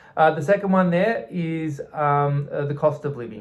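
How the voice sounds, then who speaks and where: A man speaks in an Australian accent, his voice somewhat breathy. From southeastern Australia. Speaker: expat vlogger. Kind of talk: personal vlog talk. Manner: halting, many fillers.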